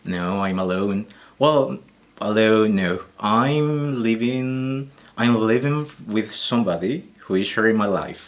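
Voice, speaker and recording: In a Colombian accent, a man speaks at a very slow pace with a medium pitch and ordinary pitch variation. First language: Spanish. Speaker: Spanish teacher. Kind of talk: interview. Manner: halting, many fillers.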